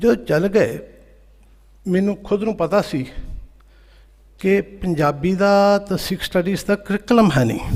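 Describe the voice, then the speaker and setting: High pitch from a man, with ordinary pitch variation. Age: 60s. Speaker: teacher and conference speaker. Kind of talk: conference speech.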